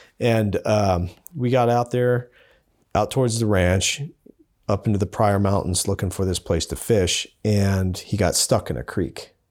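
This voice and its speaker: With an American accent, a man speaks in an ordinary speaking voice at a fairly low pitch, using ordinary pitch variation and a fairly slow pace. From Montana, Billings. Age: 30s. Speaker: overland filmmaker. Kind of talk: interview conversation.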